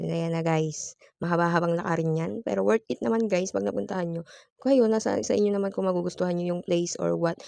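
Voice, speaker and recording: Speaking at a very fast pace, a woman uses a fairly low pitch with very wide pitch swings. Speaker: vlogger. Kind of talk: vlog voice-over narration. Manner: occasionally stumbling; casual, playful. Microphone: phone voice recording.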